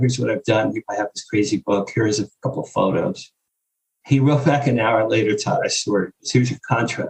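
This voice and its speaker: Somewhat breathy and at medium pitch, a man with an American accent speaks at a fairly quick pace with ordinary pitch variation, in a dry, close recording with no echo. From US Northeast, Jersey Shore. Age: 60s. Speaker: publicist and author. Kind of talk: interview storytelling. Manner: animated.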